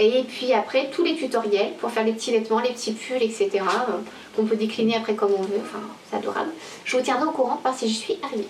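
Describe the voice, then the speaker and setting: A woman speaks very fast with ordinary pitch variation over noticeable background noise. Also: fairly high pitch for a woman. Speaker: knitting podcaster. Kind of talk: casual video podcast monologue. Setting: home video recording to camera. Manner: hesitant, many fillers.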